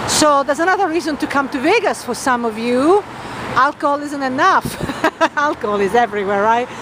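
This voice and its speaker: Against noticeable background noise, a woman talks at a moderate pace in a high voice with very wide pitch swings, her sound dry with no echo. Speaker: travel vlogger. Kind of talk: casual vlog commentary. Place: street. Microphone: phone near.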